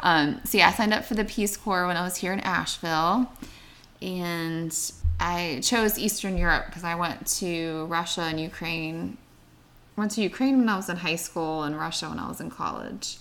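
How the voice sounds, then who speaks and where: Bright and sharp in tone, a woman with an American accent speaks at a fairly low pitch with ordinary pitch variation. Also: moderate pace. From Pittsburgh area, Pennsylvania. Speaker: teacher. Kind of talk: casual chat.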